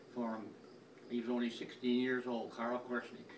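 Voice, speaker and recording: Monotone, flat delivery amid audible room echo and noticeable background noise. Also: man. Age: 80s+. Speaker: family elder sending a message. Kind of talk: recorded personal message. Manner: halting, many repetitions.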